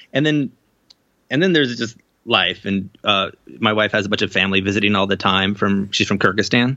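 Pitched fairly low with ordinary pitch variation, a man speaks in an ordinary speaking voice at a fairly quick pace and very even loudness. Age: 30s. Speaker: novelist and video game writer. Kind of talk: casual interview.

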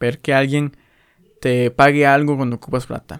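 A man speaks at a fairly slow pace and medium pitch with fairly even intonation. The sound is dry and close, with no echo. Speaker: podcaster. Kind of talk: casual monologue.

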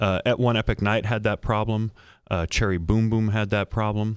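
A man speaks at a moderate pace in a normal speaking voice with a fairly low pitch. The recording is very clean and dry, with a close sound, no echo and a silent background. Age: 50s. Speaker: entertainment journalist. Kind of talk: casual chat.

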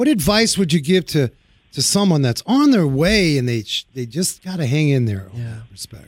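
A fairly high-pitched man with an American accent, very wide pitch swings and a moderate pace, in a dry, close sound with no echo. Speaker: automotive show host and auto shop owner. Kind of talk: casual chat. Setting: studio. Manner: animated, laughs often.

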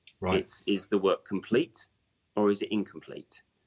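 With an English accent, a man speaks at a moderate pace, the sound dry and close with no echo. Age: 40s. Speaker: hypnotherapist. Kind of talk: interview.

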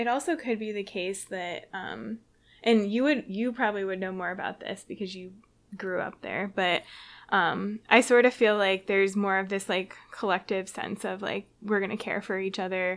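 Her voice is an ordinary speaking voice, pitched in the middle range. The woman keeps a moderate pace. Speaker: epidemiologist. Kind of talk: casual chat.

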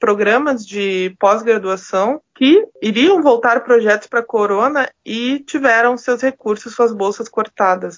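At a very slow pace, a woman with a fairly high pitch speaks with ordinary pitch variation. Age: 30s. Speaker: microbiologist and university lecturer. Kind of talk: podcast interview.

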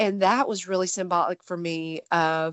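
Speaking fairly slowly, a woman uses a fairly low pitch in a Texan accent. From Texas. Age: 30s. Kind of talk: personal testimony.

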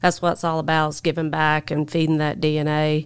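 A woman talks at a moderate pace with a very deep, low pitch. The recording is very clean, with a silent background. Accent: Southern US. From US South, North Carolina. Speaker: construction equipment dealer general manager. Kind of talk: casual interview chat. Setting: studio.

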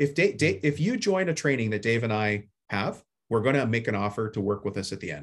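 A man's somewhat breathy, medium-pitched voice with lively intonation and a fairly quick pace. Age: 50s. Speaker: home service business coach and contractor. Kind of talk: casual interview. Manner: plain everyday talk.

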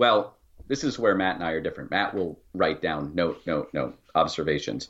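Vocal fry runs through a man's voice at a moderate pace. His pitch varies normally against a quiet background. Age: 40s. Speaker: board game designer. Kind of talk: interview.

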